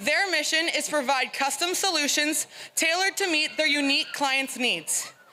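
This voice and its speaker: A woman with a high pitch speaks in a raised, projected voice at a moderate pace. Her pitch varies in an ordinary way over noticeable background noise. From Listowel, Ontario, Canada. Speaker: fair ambassador contestant. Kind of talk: prepared speech.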